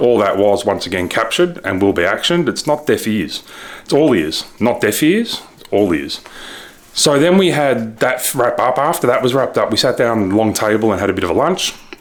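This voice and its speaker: A man with an Australian accent mumbles at a medium pitch and a fairly quick pace. His tone is animated, with very wide pitch swings, over noticeable background noise. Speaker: ecommerce reseller vlogger. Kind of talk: casual vlog recap. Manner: mumbling.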